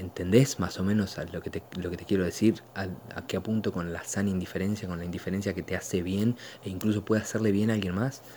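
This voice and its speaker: A man's fairly low, dark, mellow voice with a Rioplatense accent, very fast in pace and fairly even in intonation. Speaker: podcast host. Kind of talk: casual monologue. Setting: at home, living room. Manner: halting, many fillers.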